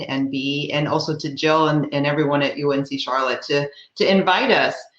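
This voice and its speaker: Over noticeable background noise, a woman with an American accent talks at a moderate pace. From US Midwest. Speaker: talent acquisition executive. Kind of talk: panel talk. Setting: video call.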